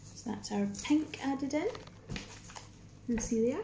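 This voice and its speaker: With a Scottish accent, a woman talks fairly quickly with ordinary pitch variation. The room echoes audibly, and there is noticeable background noise. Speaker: craft workshop leader. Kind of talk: tutorial. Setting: recorded Facebook video.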